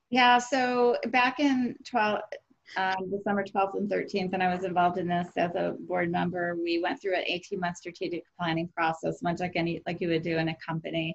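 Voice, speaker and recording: A woman with an unremarkable speaking voice keeps a medium pitch and ordinary pitch variation, moving at a moderate pace. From US Midwest (Rockford, Illinois). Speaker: nonprofit executive. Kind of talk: podcast interview.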